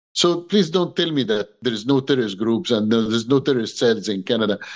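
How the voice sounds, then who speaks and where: A man with an Egyptian accent, medium pitch, ordinary pitch variation and a fairly quick pace. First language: Arabic. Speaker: human rights activist and pastor. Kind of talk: interview on video call. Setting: video call. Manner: impassioned.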